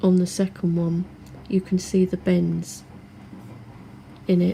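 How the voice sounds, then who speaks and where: The speaker is soft-spoken and talks at a fairly slow pace. The loudness stays very even throughout. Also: woman. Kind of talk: product review talk to camera. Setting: home, washing machine noise in background.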